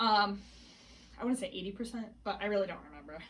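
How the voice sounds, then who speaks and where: A woman is speaking with ordinary pitch variation. Noticeable background noise can be heard. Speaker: pregnancy vlogger. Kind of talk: casual vlog. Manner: fast.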